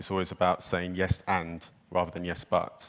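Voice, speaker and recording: With a British accent, a man speaks at a moderate pace in a very deep, low pitch and monotone, flat intonation. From United Kingdom. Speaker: micromobility company representative. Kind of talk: panel discussion.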